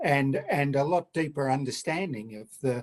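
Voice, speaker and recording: A man with an Australian accent, at a fairly slow pace, with ordinary pitch variation. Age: 70s. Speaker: retired paediatrician, audience member. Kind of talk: audience comment.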